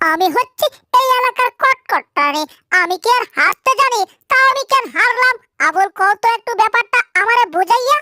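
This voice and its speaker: A female-sounding put-on character voice goes squeaky at an extremely high pitch. It moves at a moderate pace. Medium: fan dub. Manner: bossy, dramatic.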